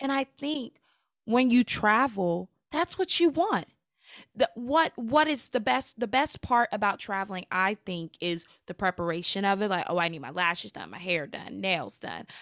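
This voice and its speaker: A woman's medium-pitched voice with very wide pitch swings and big swings in loudness at a moderate pace, dry and close with no echo, on a very clean recording with a silent background. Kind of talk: casual chat. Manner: animated.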